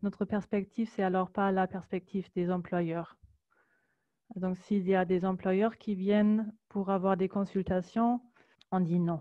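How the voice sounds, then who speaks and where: Over a quiet background, a woman with a German accent speaks very slowly in a dark, mellow tone, monotone and flat, with very even loudness and long, frequent pauses. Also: medium pitch for a woman. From Germany. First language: German (speaking French). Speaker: labour law advisor. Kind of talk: presentation. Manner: halting, many hesitations.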